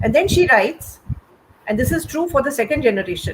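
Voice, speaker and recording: There is noticeable noise behind this woman as she talks. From India. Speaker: writer. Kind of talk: panel conversation. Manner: halting.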